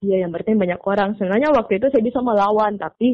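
A woman with a normal speaking voice, medium pitch and ordinary pitch variation. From Makassar, Indonesia. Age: young. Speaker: student comic artist. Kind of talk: interview.

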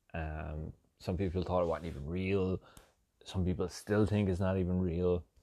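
Against a quiet background, a man with an American accent speaks at a moderate pace in a very deep, low pitch with a dark, mellow tone. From Ireland. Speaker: podcaster. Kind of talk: casual comedic monologue. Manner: animated.

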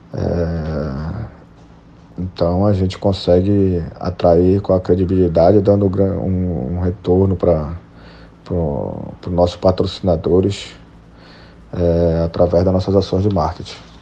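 Speaking at a very slow pace with long, frequent pauses, a man holds a very deep, low pitch and monotone, flat intonation. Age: 30s. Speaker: football club commercial director. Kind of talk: interview. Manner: halting.

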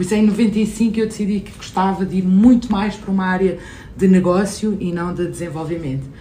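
In a room with audible echo and noticeable background noise, a woman speaks at a moderate pace and medium pitch with ordinary pitch variation. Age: 50s. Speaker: innovation executive and startup investor. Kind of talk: interview.

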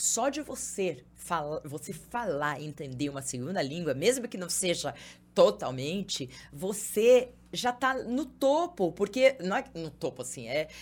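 The speaking pace is fairly slow. The pitch swings very widely. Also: woman. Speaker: TV journalist and presenter. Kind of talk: casual chat. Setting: studio.

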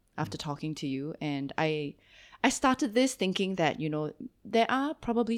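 A woman with a Singaporean accent and very deep, low pitch at a fairly quick pace, in a very clean recording with a silent background. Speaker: podcast host. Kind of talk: interview. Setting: studio. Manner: animated.

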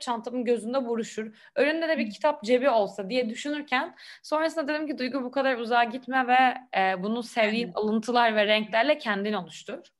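A woman speaks in a high voice. Her pace is fairly quick. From Istanbul, Turkey. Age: 20s. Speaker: French teacher, Instagram creator. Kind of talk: casual interview. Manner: hesitant, many fillers.

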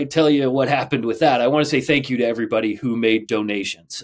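Man's voice, a plain, everyday voice at medium pitch with ordinary pitch variation. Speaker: woodworking podcast co-host. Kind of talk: casual chat.

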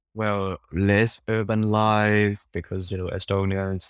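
With a Cantonese accent, a man at a fairly low pitch speaks in fairly even intonation, recorded very clean with a silent background and a dry, close sound with no echo. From Hong Kong. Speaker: interview guest, expat journalist. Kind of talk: interview. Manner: halting, many fillers and repetitions.

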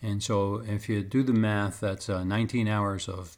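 Speaking at a fairly slow pace, the man keeps a monotone, flat intonation. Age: 60s. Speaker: podcast host. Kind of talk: personal monologue. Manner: halting, many fillers.

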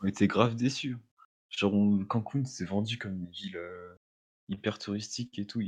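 A man speaks at a moderate pace. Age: young. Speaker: university student. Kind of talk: casual chat. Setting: call.

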